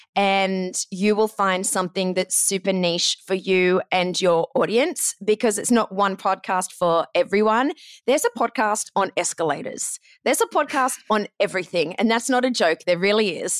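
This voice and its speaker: A woman with an Australian accent at medium pitch and moderate pace, ordinary pitch variation, very even loudness, a dry, close sound with no echo, and a very clean recording with a silent background. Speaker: podcast booking agent. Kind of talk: interview.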